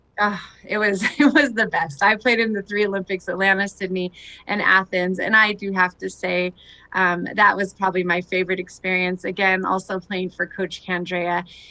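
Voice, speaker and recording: Loud and bright with a sharp tone, a woman speaks in a Californian accent at a moderate pace. Her medium-pitched voice has fairly even intonation. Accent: General American, Californian. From Southern California. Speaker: retired Olympic softball player. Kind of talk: interview. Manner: loud and positive.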